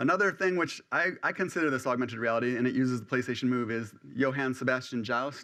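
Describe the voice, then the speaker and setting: The voice has a bright, sharp tone and moves at a very fast pace with hardly any pauses. The background is quiet. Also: man, medium pitch for a man, ordinary pitch variation. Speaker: research engineer giving a conference talk. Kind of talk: conference talk.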